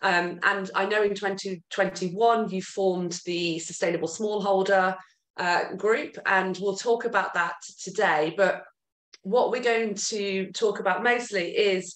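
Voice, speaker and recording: A woman with a British accent at a fairly slow pace, fairly even intonation, audible room echo and a quiet background. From UK. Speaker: podcast host. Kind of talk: casual interview chat. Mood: warm, friendly. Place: home room. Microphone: video call.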